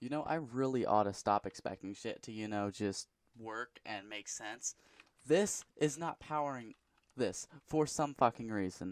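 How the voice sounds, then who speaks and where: A man's medium-pitched voice at a fairly slow pace, in a very clean recording with a silent background and a dry, close sound with no echo. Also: ordinary pitch variation. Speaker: gaming youtuber. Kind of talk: gameplay commentary. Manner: halting; mumbling.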